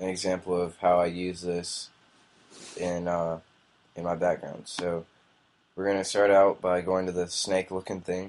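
A man with a very deep, low voice speaks at a moderate pace in a monotone, flat intonation. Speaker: software tutorial maker. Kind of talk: tutorial. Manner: casual, hesitant with fillers.

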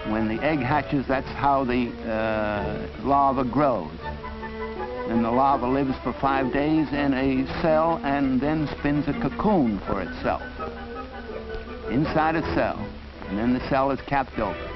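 The speaker moves at a very slow pace with lively intonation. Music plays in the background. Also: man, medium pitch for a man. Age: old. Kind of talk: educational film narration. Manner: meandering, hesitant, stammering.

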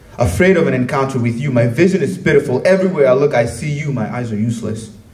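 A man speaks at a fairly quick pace. Audible room echo surrounds his voice. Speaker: spoken word poet. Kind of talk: spoken word poetry performance. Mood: intense, measured delivery. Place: stage. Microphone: handheld.

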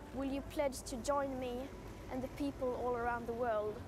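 This woman talks at a moderate pace with a high pitch and a flat, monotone delivery. The sound is dry with no echo, and there is noticeable background noise. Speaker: climate activist. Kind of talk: speech. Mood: earnest, serious. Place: street. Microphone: lapel.

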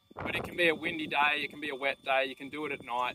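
Over noticeable background noise, a man talks at a fairly quick pace in a monotone, flat intonation, the sound dry with no echo. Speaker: drone seller. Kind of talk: tutorial. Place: open country.

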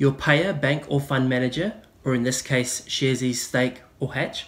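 Speaking in a New Zealand accent, a man keeps a moderate pace. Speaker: investing YouTuber. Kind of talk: tutorial.

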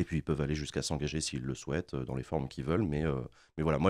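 A man speaks at a very fast pace with a very deep, low pitch and vocal fry. His pitch varies in an ordinary way against a quiet background. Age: 30s. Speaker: political streamer. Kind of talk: interview. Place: studio. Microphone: studio mic.

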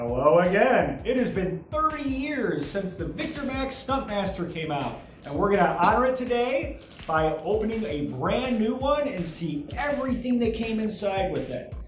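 Over light background noise and audible room echo, a man talks at a moderate pace with very wide pitch swings. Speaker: retro VR tech reviewer. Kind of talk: unboxing and setup talk to camera. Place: empty room.

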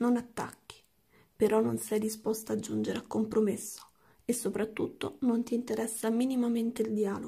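Quiet and somewhat breathy, a woman speaks in a dark, mellow tone at a fairly high pitch, with monotone, flat intonation and a moderate pace. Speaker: tarot card reader; tarot reader. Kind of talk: tarot reading. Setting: at home late at night. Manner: speaking quietly. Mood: calm, empathetic. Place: home room.

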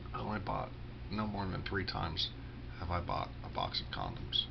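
With noticeable background noise, a man speaks at a moderate pace with lively intonation. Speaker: vlogger. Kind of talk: casual monologue vlog. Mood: self-deprecating, candid. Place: home room. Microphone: webcam.

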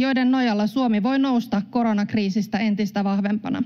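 Against a quiet background, a woman with a fairly high, somewhat breathy voice talks at a moderate pace with fairly even intonation. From Finland. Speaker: member of parliament. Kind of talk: parliamentary speech. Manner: formal. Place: hall. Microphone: podium.

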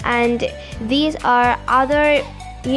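A woman's high-pitched voice with fairly even intonation, clear music playing in the background. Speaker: vlogger touring exhibit. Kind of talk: casual vlog commentary. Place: hall. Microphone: phone near.

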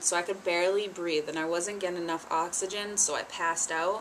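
A woman's normal speaking voice, fairly low in pitch, at a moderate pace with fairly even intonation over light background noise. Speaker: vlogger. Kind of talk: casual vlog chat. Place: home room. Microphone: webcam.

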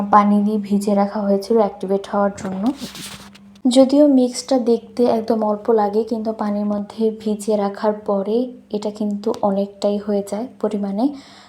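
A woman's medium-pitched, monotone, flat voice over noticeable background noise. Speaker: cooking vlogger. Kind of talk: recipe tutorial voiceover. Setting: home, recorded at night.

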